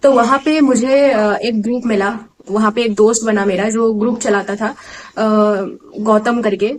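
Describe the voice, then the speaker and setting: A woman speaks with an Assamese accent. Her pitch is fairly high and her intonation fairly even. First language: Assamese (speaking Hindi). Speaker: exam aspirant vlogger. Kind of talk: casual vlog talk. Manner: hesitant, many fillers.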